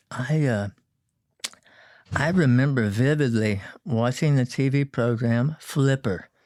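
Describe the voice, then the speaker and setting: Speaking with a Texan accent at a fairly slow pace, a man of medium pitch shows ordinary pitch variation in a very clean recording with a silent background and a dry, close sound without echo. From Texas, San Antonio. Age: 60s. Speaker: boat builder. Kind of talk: interview. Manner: halting.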